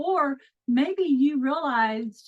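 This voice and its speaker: A woman talks in an American accent. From Texas. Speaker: mindset coach and group leader. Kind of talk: online group session hosting. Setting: video call. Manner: animated.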